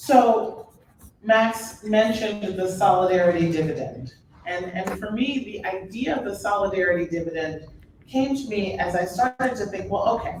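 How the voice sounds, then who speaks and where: A woman with an American accent and a medium pitch speaks at a moderate pace with lively intonation, with audible room echo and noticeable background noise. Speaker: author and speaker. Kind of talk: public talk. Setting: stage with audience.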